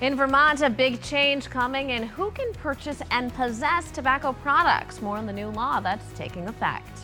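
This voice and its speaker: A woman keeps a moderate pace with hardly any pauses while music plays behind her. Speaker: TV news anchor and reporter. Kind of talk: TV news anchor read.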